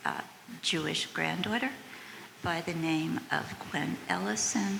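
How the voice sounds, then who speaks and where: A woman speaks very slowly with an American accent. Noticeable background noise and audible room echo fill the recording. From United States. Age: 80s+. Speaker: audience member. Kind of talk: audience question and testimony.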